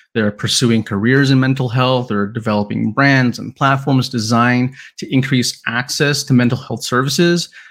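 With hardly any pauses, a man with a plain, everyday voice speaks at a moderate pace and medium pitch, his intonation fairly even, in a very clean recording with a silent background. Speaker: branding agency founder and social media writer. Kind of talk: interview conversation.

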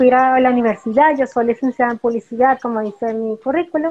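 A woman is speaking. Her pitch is high. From Venezuela, Caracas. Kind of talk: interview.

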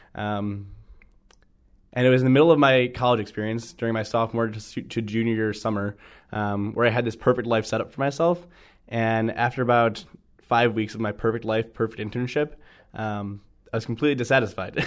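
A man uses a normal speaking voice with an American accent and a medium pitch. His intonation is fairly even, on a very clean recording with a silent background. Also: fairly quick pace. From Ohio, Cleveland area. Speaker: camp activity director. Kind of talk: interview testimony.

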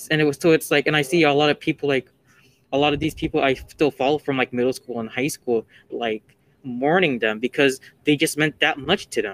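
A man with an ordinary speaking voice and a fairly high pitch talks at a fairly quick pace, the sound dry and close with no echo. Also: ordinary pitch variation. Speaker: student podcast co-host. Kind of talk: casual chat.

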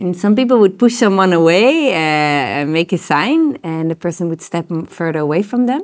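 Speaking at a moderate pace with hardly any pauses, a woman with a Dutch accent has a fairly low pitch and lively intonation. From Netherlands. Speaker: tantra teacher and therapist. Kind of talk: interview. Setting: recorded in Koh Phangan.

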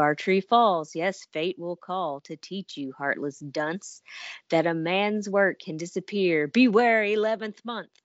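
In an ordinary speaking voice, a woman talks at a fairly slow pace and a medium pitch, with big swings in loudness. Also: ordinary pitch variation. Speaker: podcast co-host guest. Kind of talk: casual chat.

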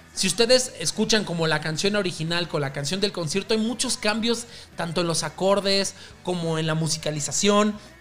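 Noticeable background noise sits under an animated tone. The pace is moderate, and pitch varies in an ordinary way. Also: man, high pitch for a man. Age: 20s. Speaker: podcast host. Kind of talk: casual music podcast monologue. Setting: home recording at night.

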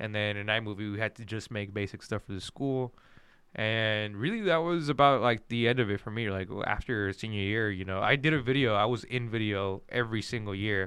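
A man with a fairly low pitch talks at a fairly quick pace in a normal speaking voice with ordinary pitch variation. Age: 20s. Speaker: videographer and mortgage lender. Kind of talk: casual chat.

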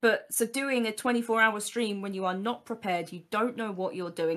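An ordinary speaking voice, a woman's, fairly high in pitch and at a fairly quick pace. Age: 20s. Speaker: streamer and series creator. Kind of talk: casual chat.

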